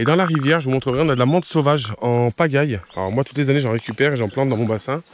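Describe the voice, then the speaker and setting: A man at a medium pitch with ordinary pitch variation, talking very fast over noticeable background noise. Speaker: nature vlogger. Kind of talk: outdoor vlog walk. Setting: outdoors. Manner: casual with hesitations; soft-spoken.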